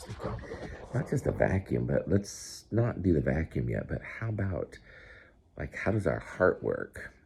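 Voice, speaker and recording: A man's voice moving at a moderate pace. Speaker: grandfather making science videos for grandchildren. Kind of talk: casual talk to camera for a grandchild. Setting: indoors at home, early morning. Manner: soft-spoken; halting.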